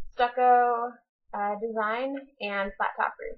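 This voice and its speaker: A woman speaks in a fairly high pitch with fairly even intonation. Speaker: college student. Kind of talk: casual vlog talk to camera.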